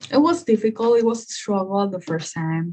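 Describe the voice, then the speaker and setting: A woman with a Spanish accent sounds somewhat breathy, her intonation lively. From Guatemala, Guatemala City. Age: 20s. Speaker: nursing student. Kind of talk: interview. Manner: hesitant, many fillers.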